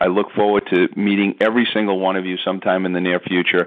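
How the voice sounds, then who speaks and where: A man talks at a fairly quick pace in a fairly low voice. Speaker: network marketing entrepreneur. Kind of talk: sales pitch. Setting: phone conference call. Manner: fast; animated.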